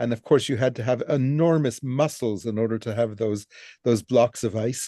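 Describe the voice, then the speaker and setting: A man's dark, mellow voice with ordinary pitch variation, dry and close with no echo. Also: medium pitch for a man, moderate pace. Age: 70s. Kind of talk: casual chat. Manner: halting.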